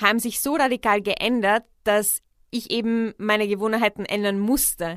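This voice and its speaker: On a very clean recording with a silent background, a woman with an unremarkable speaking voice talks at a moderate pace, her pitch fairly high and her intonation fairly even. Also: dry, close sound with no echo. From Czech Republic. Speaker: podcast host. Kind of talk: personal narration, podcast monologue. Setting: studio.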